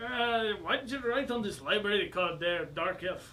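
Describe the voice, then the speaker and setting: Over clear background noise, a man does a gruff, high-pitched character voice at a moderate pace. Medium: actual play. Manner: gruff, suspicious.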